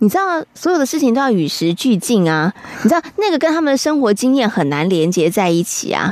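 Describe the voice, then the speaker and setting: A woman talks at a fairly quick pace in a fairly high pitch with very wide pitch swings. Her loudness stays very even over noticeable background noise. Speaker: radio host. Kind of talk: radio show chat.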